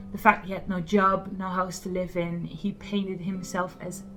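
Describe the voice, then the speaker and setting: A woman's medium-pitched voice is accompanied by noticeable background noise. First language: Dutch. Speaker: vlogger. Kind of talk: personal testimony.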